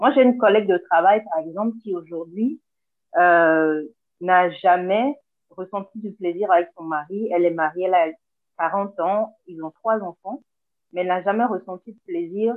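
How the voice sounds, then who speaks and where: Fairly slow delivery in a normal speaking voice, with ordinary pitch variation. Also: woman, medium pitch for a woman. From Togo. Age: 30s. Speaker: podcast guest, listener. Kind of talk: casual chat. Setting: video call. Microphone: Zoom recording, poor sound.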